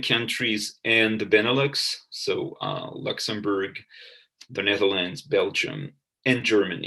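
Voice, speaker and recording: A man at a moderate pace with a French accent. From France. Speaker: professor. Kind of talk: lecture. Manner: halting.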